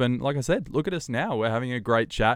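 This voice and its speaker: A man speaks with an Australian accent. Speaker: podcast host and TV presenter. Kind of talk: casual chat. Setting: video call. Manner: animated.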